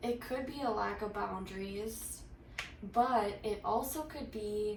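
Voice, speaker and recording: A woman speaks at a very slow pace. Noticeable background noise and audible room echo surround her voice. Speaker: tarot reader. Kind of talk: tarot reading. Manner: halting, many fillers.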